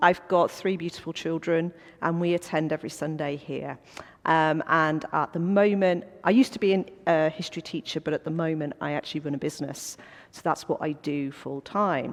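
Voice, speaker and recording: Speaking at a fairly quick pace with a Welsh accent, a woman uses a fairly low pitch and big swings in loudness. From North Wales. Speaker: business owner, former history teacher. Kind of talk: church talk. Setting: church coffee morning with audience. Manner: animated.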